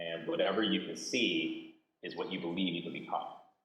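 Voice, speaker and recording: The speaker talks at a fairly quick pace with a Californian accent, with audible room echo. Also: man. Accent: Californian American English. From US West Coast (San Jose, Bay Area). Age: 40s. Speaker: panelist, entrepreneur. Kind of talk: panel discussion. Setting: video call. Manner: casual, animated.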